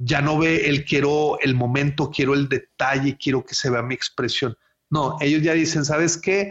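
A man speaks at a fairly high pitch in a somewhat breathy voice. He talks at a fairly slow pace with fairly even intonation. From Monterrey, northern Mexico. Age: 40s. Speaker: wedding photographer. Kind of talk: casual interview. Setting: remote call from home. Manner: halting, repeats words.

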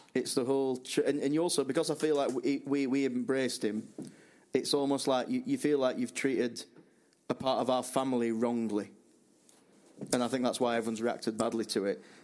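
A man with a plain, everyday voice speaks at a fairly quick pace, with medium pitch and fairly even intonation. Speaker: podcast co-host. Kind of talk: casual chat about football.

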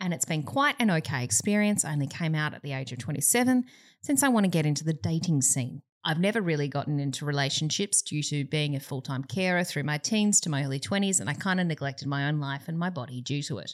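Speaking at a very fast pace, a woman uses lively intonation and a very deep, low pitch. The recording is very clean, with a silent background. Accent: Australian. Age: 30s. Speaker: comedian podcast co-host. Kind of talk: casual chat.

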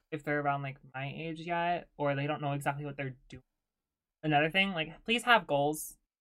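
A moderate pace carries the speech. Behind it the background is silent, on a very clean recording. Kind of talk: casual chat.

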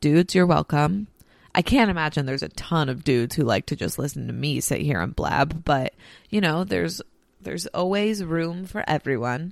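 A woman speaks in a very deep, low voice with lively intonation and vocal fry. The recording is very clean, with a silent background. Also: moderate pace. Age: 20s. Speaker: podcast host and radio producer. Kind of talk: casual solo monologue. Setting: at home on couch.

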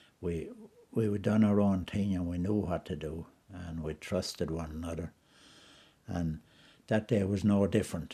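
A man with a Wexford accent talks at a moderate pace, leaving long, frequent pauses. His very deep, low voice has a dark, mellow tone and fairly even intonation. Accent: rural Wexford Irish. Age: 70s. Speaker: retired hurler. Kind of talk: reminiscing interview.

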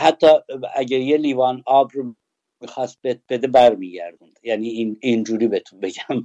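A man's medium-pitched voice, dark and mellow in tone, with ordinary pitch variation, big swings in loudness, a moderate pace, and a dry, close sound with no echo. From Kurdistan, Iran (Sanandaj). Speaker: former teacher, witness. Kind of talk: personal testimony interview.

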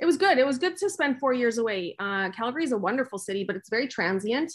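A woman speaks in an ordinary speaking voice with a Canadian accent, her intonation lively. She talks at a fairly quick pace against a quiet background. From Winnipeg, Canada. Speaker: business owner. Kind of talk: interview.

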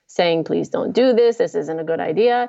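There is ordinary pitch variation as a woman speaks with a slight New Jersey accent. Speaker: primate sanctuary program director. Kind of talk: casual interview chat. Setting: remote link.

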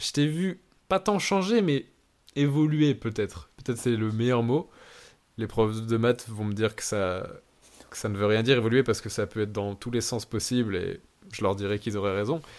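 A man speaks at a medium pitch and a moderate pace with lively intonation. He leaves long, frequent pauses. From northern France, Lille. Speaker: podcast host. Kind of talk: casual chat. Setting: remote recording.

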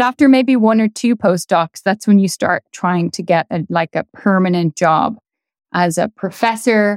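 A woman with a Dublin accent talks at a moderate pace, her medium pitch showing ordinary variation. The recording is very clean with a silent background, and the sound is dry and close with no echo. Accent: Irish (Dublin). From Ireland, Dublin. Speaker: astrophysicist. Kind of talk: interview. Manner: casual, laughing.

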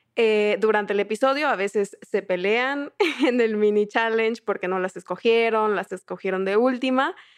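This woman has a plain, everyday voice pitched fairly high, with ordinary pitch variation. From southern Mexico. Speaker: podcast co-host and producer. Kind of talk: casual chat.

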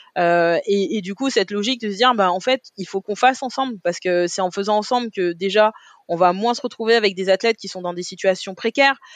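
With a plain, everyday voice, a woman speaks at a fairly high pitch and fairly quick pace, with ordinary pitch variation, in a dry, close sound with no echo. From Paris, 18th arrondissement. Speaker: olympic athlete and deputy mayor. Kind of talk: interview conversation.

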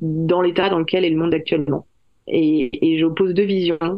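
A woman speaks at a fairly slow pace. Her voice is fairly low, with monotone, flat intonation. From France. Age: 40s. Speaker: novelist. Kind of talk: interview. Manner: hesitant, many fillers and repeated words.

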